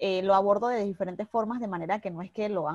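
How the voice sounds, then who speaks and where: In an unremarkable speaking voice, a woman talks at a medium pitch with ordinary pitch variation, the sound dry and close with no echo and the background quiet. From Panama, Panama City. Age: 30s. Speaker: fashion blogger. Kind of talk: interview.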